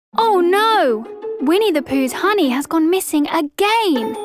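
A woman speaks with very wide pitch swings. Music plays clearly in the background, and the sound is dry with no echo. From United Kingdom. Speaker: voice actor. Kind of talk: children's e-learning narration. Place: studio.

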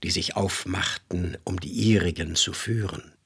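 The delivery is very slow and solemn, with a dramatic tone and fairly even intonation. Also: man. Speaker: voice actor narrator. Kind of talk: mythic fairy-tale narration, solemn biblical-style storytelling. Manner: slow, solemn, dramatic, grave and hypnotic.

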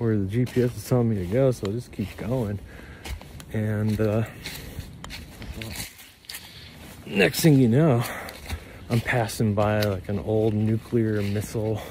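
With long, frequent pauses, a man talks at a fairly slow pace and fairly low pitch, his intonation fairly even, in a dry sound with no echo and light background noise. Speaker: vlogger. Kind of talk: casual vlog chat. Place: forest. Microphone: phone near.

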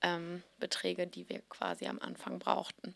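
Against a quiet background, a woman's voice comes through with a bright, sharp tone. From Hamburg, northern Germany; Germany. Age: 30s. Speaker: fashion blogger and founder; fashion blogger. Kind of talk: interview. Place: hall. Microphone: handheld.

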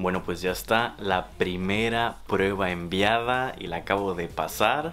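A man with a Mexican accent over light background noise. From Mexico, Tabasco. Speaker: travel vlogger. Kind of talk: vlog monologue. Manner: animated. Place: home room.

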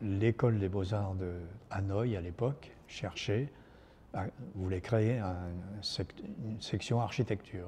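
Speaking slowly, a man uses a low pitch, ordinary pitch variation and a dark, mellow tone.

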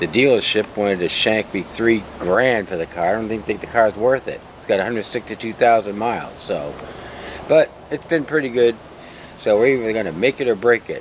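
At a moderate pace, a man speaks with ordinary pitch variation, and the sound is dry with no echo, with light background noise. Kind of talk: casual DIY tutorial chat. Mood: wry, joking. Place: garage. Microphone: camera far.

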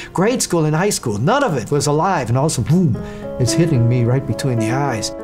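A man talking at a very fast pace over clear music in the background. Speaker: former TV reporter telling life story. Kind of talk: personal testimony. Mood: earnest, reflective. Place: studio.

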